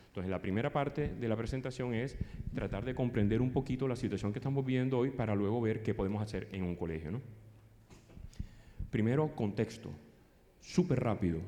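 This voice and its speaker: Room echo is audible as a man talks at a fairly quick pace with long, frequent pauses. His tone is dark and mellow, and his pitch is medium. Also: ordinary pitch variation. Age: 50s. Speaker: psychologist and conference speaker. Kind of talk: lecture. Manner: fast.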